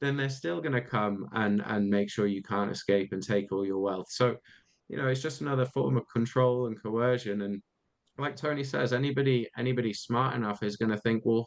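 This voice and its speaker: A British accent carries this voice at a fairly quick pace. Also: man, medium pitch for a man, ordinary pitch variation. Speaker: podcast co-host. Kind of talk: casual discussion.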